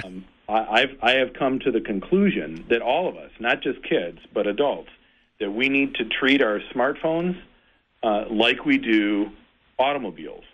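A man speaks in an ordinary speaking voice at medium pitch, with lively intonation and a moderate pace. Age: 40s. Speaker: Lutheran pastor. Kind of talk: casual chat.

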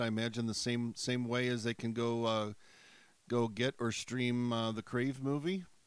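Here a man talks at a fairly slow pace with a medium pitch, a normal speaking voice. The recording is very clean, with a silent background. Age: 50s. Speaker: pastor and campus ministry radio host. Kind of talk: casual interview.

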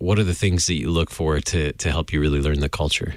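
This man's very deep, low voice keeps a fairly even intonation. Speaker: radio host. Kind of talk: radio interview. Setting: studio.

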